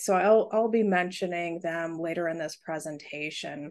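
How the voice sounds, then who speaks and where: A woman with a normal speaking voice, fairly low in pitch, talks at a moderate pace with fairly even intonation against a quiet background. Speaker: presenter. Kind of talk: presentation talk. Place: home room.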